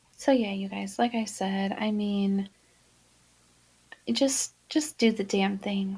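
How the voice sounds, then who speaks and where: A soft-spoken, somewhat breathy woman speaks at a very slow pace. The recording is very clean, with a silent background. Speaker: podcast host and cleaning business owner. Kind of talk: casual monologue podcast. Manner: casual, filler-heavy.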